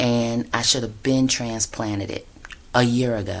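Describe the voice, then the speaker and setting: At a very slow pace, a woman speaks with a very deep, low pitch. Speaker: yoga and meditation teacher. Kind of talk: casual vlog talk. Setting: indoors at home. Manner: hesitant, many fillers.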